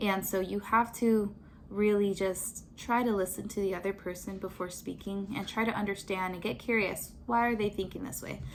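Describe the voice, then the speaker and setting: Hardly pausing, a woman speaks with fairly even intonation. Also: medium pitch for a woman. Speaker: lifestyle vlogger. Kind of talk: casual vlog talk. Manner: fast.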